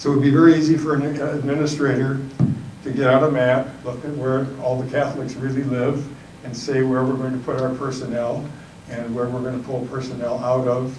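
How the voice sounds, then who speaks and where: Over noticeable background noise and audible room echo, a man at medium pitch speaks at a fairly quick pace with monotone, flat intonation. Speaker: panelist at a church forum. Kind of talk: panel talk. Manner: mumbling.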